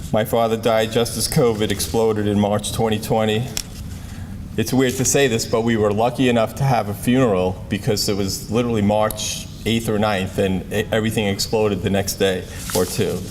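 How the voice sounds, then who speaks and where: A man with an American accent at a moderate pace, with fairly even intonation and very even loudness, over noticeable background noise and audible room echo. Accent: Brooklyn accent, some hear New England. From Brooklyn, New York. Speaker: athletic trainer, award recipient. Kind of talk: award acceptance speech. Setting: banquet stage with audience. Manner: halting, self-correcting.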